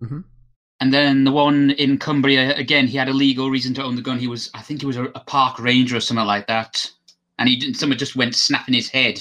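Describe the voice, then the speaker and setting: A man's very fast, monotone, flat delivery in a bright, sharp tone with a British accent. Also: medium pitch for a man. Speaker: podcast guest, show patron. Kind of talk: casual chat.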